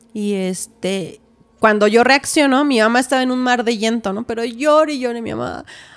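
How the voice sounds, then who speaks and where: A woman's fairly high-pitched voice at a moderate pace, with ordinary pitch variation. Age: 30s. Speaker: massage therapist and homemaker; podcast guest. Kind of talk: testimony. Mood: earnest, at times distressed. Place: studio. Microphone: studio mic.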